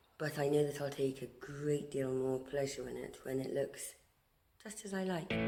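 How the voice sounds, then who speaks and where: With music in the background, a woman speaks at a moderate pace in a very deep, low pitch with ordinary pitch variation. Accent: British. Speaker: artist and amateur motorcycle restorer. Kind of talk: casual talk to camera.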